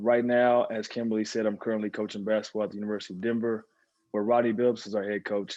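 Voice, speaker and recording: Speaking very fast, this man has a voice pitched fairly low. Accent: American. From Texas (Dallas). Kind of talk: casual chat. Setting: video call.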